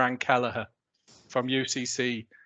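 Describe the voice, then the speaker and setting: A man's medium-pitched, bright, sharp voice with a British accent, dry and close with no echo, over a quiet background. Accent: non-Irish, British. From UK. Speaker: technology industry executive. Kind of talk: panel discussion. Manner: hesitant, many fillers.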